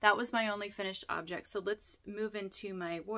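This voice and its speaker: A woman's bright, sharp tone at a moderate pace against a quiet background. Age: 40s. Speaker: fiber arts podcaster. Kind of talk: casual chat. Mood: warm, cheerful. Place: home room. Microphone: phone near.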